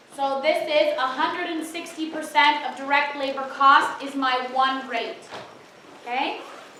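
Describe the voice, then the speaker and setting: A woman's raised, projected voice at a fairly slow pace, with audible room echo. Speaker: tutor leading exam review session. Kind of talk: lecture.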